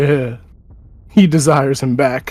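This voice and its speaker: The man does a put-on character voice at a medium pitch. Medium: actual play. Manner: blunt, threatening.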